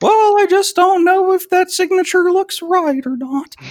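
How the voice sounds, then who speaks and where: An extremely high-pitched put-on character voice from a man at a moderate pace. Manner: hesitant, doubtful.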